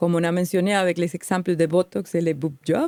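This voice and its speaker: A woman with a slight Colombian accent speaks at a moderate pace in a dark, mellow tone at medium pitch. The sound is dry and close, with no echo. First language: Spanish (speaking French). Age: 40s. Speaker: podcast co-host. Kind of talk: podcast monologue, prepared talk.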